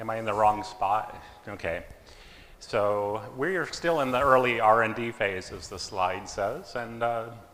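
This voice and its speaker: Audible room echo and noticeable background noise surround a man's voice. He talks at a fairly slow pace with long, frequent pauses. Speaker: engineer and startup co-founder presenting. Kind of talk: conference talk. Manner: loud.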